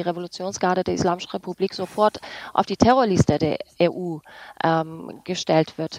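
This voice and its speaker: In a dry, close recording with no echo, a woman speaks at a medium pitch with fairly even intonation in an unremarkable speaking voice. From Iranian-German. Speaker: journalist. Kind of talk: radio panel discussion.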